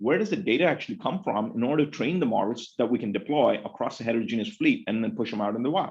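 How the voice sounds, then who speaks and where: Pitch swinging very widely, a man rattles along at a very fast pace. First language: Telugu. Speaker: professor. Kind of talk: lecture. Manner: animated.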